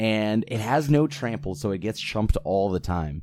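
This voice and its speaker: A man with an ordinary speaking voice speaks at a fairly low pitch on a very clean recording with a silent background. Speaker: podcast co-host. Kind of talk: casual chat.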